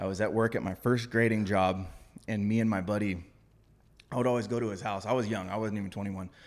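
With a Californian accent, a man talks at a very fast pace in a flat monotone at a fairly low pitch. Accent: Californian American. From Southern California, San Diego. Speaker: heavy equipment operator and fitness coach. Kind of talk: casual chat.

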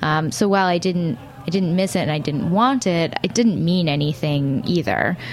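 A woman at a moderate pace in an American accent, fairly low in pitch with lively intonation and very even loudness, over noticeable background noise. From Brooklyn, New York. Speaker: radio network staff. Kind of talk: casual chat. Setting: radio studio.

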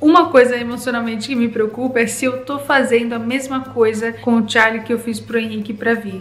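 The speaker is a woman with a fairly high voice. Background noise is noticeable throughout. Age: 30s. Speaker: YouTuber mom vlogger. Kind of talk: casual vlog monologue.

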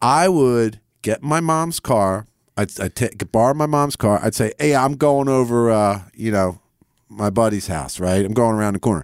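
A man with a normal speaking voice talks at a moderate pace, his medium pitch carrying lively intonation. The sound is dry and close with no echo, on a very clean recording with a silent background. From Philadelphia area. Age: 50s. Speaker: rock guitarist. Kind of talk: casual interview chat. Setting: radio studio.

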